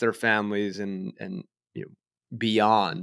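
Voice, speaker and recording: In an American accent, an unremarkable speaking voice moves at a fairly slow pace on a very clean recording with a silent background. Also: man. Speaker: podcast host. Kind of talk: interview, casual conversation.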